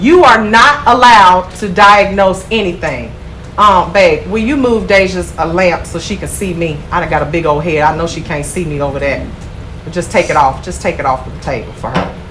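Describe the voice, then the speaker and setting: A woman's animated, fairly low voice with lively intonation at a moderate pace, amid audible room echo and noticeable background noise. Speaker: nail school instructor. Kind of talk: classroom lecture. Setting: classroom. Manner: loud.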